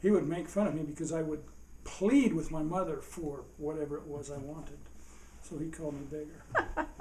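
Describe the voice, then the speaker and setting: A man with an American accent speaks at a fairly high pitch and a moderate pace, his intonation fairly even but his loudness swinging widely. The recording has audible room echo and noticeable background noise. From Utah. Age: 70s. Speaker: father being interviewed about his life. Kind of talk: family oral history interview.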